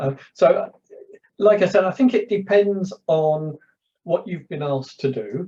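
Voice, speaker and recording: With a London accent, a man speaks in a high pitch and a dark, mellow tone. His intonation is lively and his pace fairly slow. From London, north. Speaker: public speaker, former journalist. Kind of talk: casual chat. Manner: halting.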